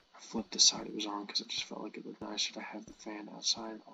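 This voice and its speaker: A man speaks over noticeable background noise. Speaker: game modder. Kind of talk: casual gameplay commentary.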